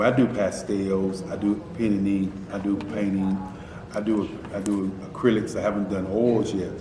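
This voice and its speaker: Amid noticeable background noise and audible room echo, a man speaks at a fairly low pitch. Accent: American. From North Carolina (Durham). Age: 50s. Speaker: artist. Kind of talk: recorded interview.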